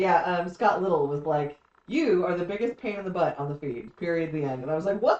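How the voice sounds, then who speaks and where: A woman's fairly low voice, fairly quick pace and lively intonation. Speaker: live stream co-host. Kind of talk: casual live chat reading comments. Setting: live stream. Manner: fast.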